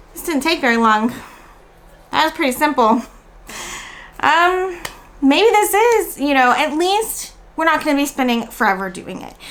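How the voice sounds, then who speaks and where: Using an American accent, a woman with a high pitch speaks at a moderate pace with very wide pitch swings and long, frequent pauses. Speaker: homeschooling vlogger. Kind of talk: casual review vlog.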